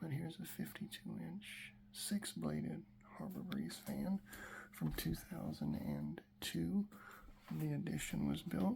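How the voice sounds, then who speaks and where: At a fairly slow pace, the speech comes out quietly. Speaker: hobbyist video creator. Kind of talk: casual home tour video. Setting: around the house, garage and porch. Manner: quiet talking.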